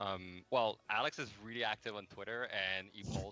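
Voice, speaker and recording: A man with a Quebec accent speaks in a fairly low pitch and a monotone, flat intonation while music plays in the background. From Quebec, Montreal. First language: French. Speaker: game development manager. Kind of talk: interview. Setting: livestream. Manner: hesitant, many fillers.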